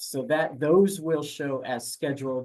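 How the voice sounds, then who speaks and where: A man with an ordinary speaking voice, fairly high pitch, ordinary pitch variation and a fairly slow pace. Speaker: grants staff presenter. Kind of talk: webinar presentation. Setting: online webinar.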